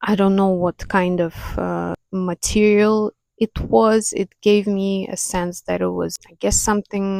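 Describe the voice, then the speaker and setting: A woman speaks at a fairly slow pace with a non-native accent. The sound is dry and close, with no echo. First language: not English. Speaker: spiritual content creator, clairvoyant. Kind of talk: casual talk to camera. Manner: unscripted, hesitant.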